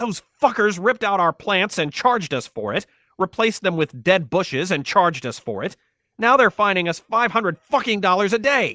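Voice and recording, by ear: A man puts on a character voice, high-pitched with big pitch swings. The tone is bright and sharp, and the sound is dry and close with no echo. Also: moderate pace.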